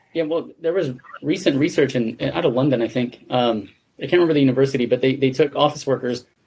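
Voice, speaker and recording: Speaking at a very fast pace, the man keeps to a medium pitch. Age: 40s. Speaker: podcast host. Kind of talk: interview.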